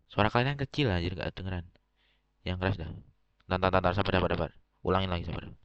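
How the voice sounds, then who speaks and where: A man's very deep, low voice at a very fast pace, with ordinary pitch variation and long, frequent pauses. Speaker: gamer roleplaying family boss. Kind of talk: roleplay game meeting. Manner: casual, swearing slang.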